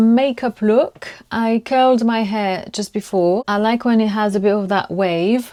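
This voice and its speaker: A woman with a French accent, a fairly high pitch, a dark, mellow tone and ordinary pitch variation, on a very clean recording with a silent background. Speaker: lifestyle vlogger. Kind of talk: casual vlog talk to camera. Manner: halting, searching for words.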